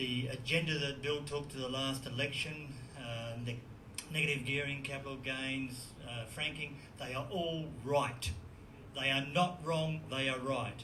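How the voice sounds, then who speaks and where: A man's fairly high voice with an Australian accent at a fairly slow pace, with audible room echo and noticeable background noise. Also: fairly even intonation. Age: 60s. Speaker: audience member. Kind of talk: audience question.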